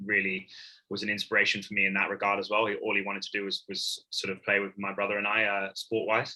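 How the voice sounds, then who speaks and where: A man talks at a fairly quick pace in a fairly low pitch. His tone is bright and sharp, his intonation flat and monotone. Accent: American. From Hong Kong. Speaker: professional rugby player. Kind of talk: podcast interview. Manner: hesitant, many fillers and repeats.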